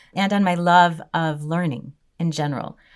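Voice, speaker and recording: A woman's fairly low voice with a Chicago accent and fairly even intonation. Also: very clean recording, silent background. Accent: American, Chicago. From US Midwest, Chicago. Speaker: Torah teacher and legal advisor. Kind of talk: interview.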